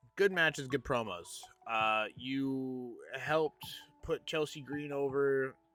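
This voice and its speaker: Over music in the background, a man with a fairly high voice speaks at a very slow pace with ordinary pitch variation. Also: long, frequent pauses. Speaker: gaming and wrestling youtuber. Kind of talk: casual commentary monologue. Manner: animated.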